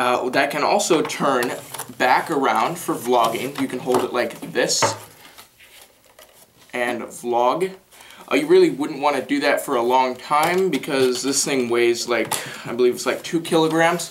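A man speaks at a fairly slow pace, his pitch medium and his tone fairly bright. His pitch varies in an ordinary way, and audible room echo surrounds him.

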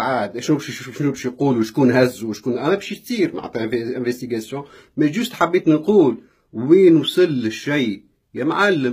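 A man's somewhat breathy, animated voice, fairly high in pitch, with lively intonation, a moderate pace and a quiet background. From Tunisia. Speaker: vlogger. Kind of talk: live video rant. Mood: upset, indignant. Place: home room. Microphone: phone near.

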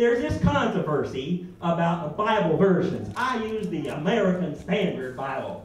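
Lively intonation at a moderate pace, hardly any pauses, light background noise and audible room echo. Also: man, high pitch for a man. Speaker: stand-up comedian. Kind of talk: stand-up comedy with impressions. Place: stage.

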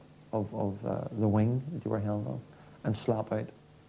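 A man speaks at a fairly slow pace in a fairly low pitch, with a dark, mellow tone. Light background noise sits underneath. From Northern Ireland. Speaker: former political prisoner. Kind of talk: interview testimony. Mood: grave, reflective.

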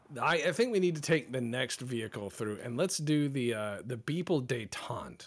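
Here a man has an unremarkable speaking voice at a medium pitch and a moderate pace. The recording is very clean, with a silent background. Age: 30s. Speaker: streamer. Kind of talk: casual chat.

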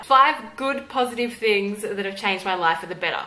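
A woman with an Australian accent speaks at a fairly high pitch with lively intonation over light background noise. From Tasmania, Australia. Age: 20s. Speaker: YouTuber. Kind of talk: casual talk to camera. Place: home room.

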